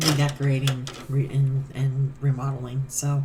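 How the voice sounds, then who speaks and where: A woman speaks at a very slow pace. Her pitch is very deep and low, and her voice is somewhat breathy. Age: middle-aged. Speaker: cross stitch vlogger. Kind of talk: casual chat. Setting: home stitching room.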